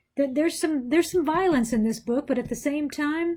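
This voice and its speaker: A woman speaks with ordinary pitch variation. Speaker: pastor. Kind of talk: bible study talk. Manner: hesitant, many fillers.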